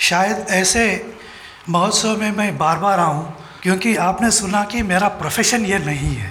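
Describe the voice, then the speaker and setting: A man with a non-native accent and a high pitch, amid noticeable background noise and audible room echo. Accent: non-native Hindi. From Telangana, India. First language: Telugu (speaking Hindi). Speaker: orthopedic surgeon and religious speaker. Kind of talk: speech at a festival. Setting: stage with audience. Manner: halting.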